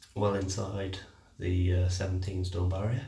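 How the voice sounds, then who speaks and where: A man speaks quietly with a British accent, in a dark, mellow and somewhat breathy tone. Audible room echo surrounds his voice. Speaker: fitness vlogger. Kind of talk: casual vlog monologue. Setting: at home. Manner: halting.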